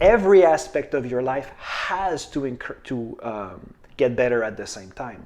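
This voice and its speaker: A man speaks at a fairly slow pace. His fairly high voice moves in very wide pitch swings. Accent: French. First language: French. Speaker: manifestation coach. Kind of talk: casual video talk. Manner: halting, with repetitions and fillers.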